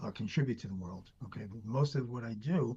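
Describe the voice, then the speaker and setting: A man with a dark, mellow tone and somewhat breathy voice talks at a fairly quick pace. His medium pitch carries lively intonation. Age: 60s. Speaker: doctor. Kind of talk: interview.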